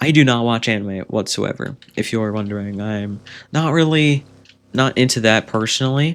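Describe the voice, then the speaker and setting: The recording is very clean with a silent background. A man with a plain, everyday voice talks at a medium pitch and moderate pace with ordinary pitch variation. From Canada, Ontario. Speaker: gaming YouTuber. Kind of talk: Q&A video answering viewer questions. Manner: casual with many fillers.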